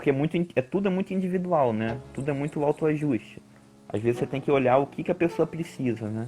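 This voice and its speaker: Over background music, a man talks very fast at a fairly high pitch with ordinary pitch variation. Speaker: climbing coach and researcher. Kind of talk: live-stream interview.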